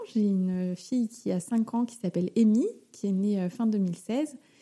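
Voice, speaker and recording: A woman with a fairly high pitch speaks at a fairly slow pace, her tone dark and mellow and somewhat breathy. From Paris region, France. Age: 30s. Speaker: mother sharing her pregnancy story. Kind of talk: interview testimony.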